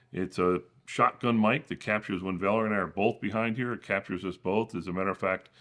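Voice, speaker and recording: The recording has a quiet background. A booming man's voice sits at a fairly low pitch with a bright, sharp tone. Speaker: tech YouTuber. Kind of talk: tutorial. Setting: home studio.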